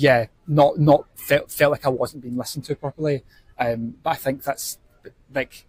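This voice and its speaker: Somewhat breathy delivery with fairly even intonation. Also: man, fairly high pitch for a man, moderate pace, dry, close sound with no echo. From Scotland, Paisley. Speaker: theatre director. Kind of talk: casual chat. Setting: live podcast recorded at outdoor festival venue.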